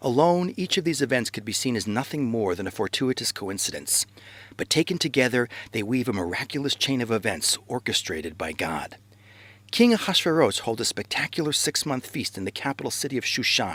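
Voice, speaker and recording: A man's medium-pitched voice with vocal fry and very wide pitch swings, at a fairly quick pace, in a very clean recording with a silent background and a dry, close sound with no echo. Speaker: rabbi. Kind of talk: animated educational narration.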